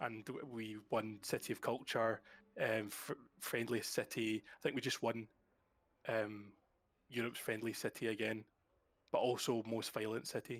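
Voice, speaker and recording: A man with a medium pitch speaks at a moderate pace in a monotone, flat intonation. He leaves long, frequent pauses. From Scotland, Glasgow. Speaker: gamer guest. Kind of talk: casual chat.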